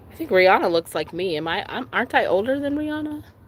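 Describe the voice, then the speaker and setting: A woman speaks loudly at a very fast pace. Her pitch swings very widely. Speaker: tarot reader. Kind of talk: live stream tarot reading. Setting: outdoors by a lake.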